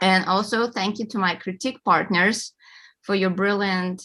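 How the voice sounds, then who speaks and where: A woman speaks at a moderate pace with a bright, sharp tone and a Russian accent. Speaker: award-winning author. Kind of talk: acceptance speech.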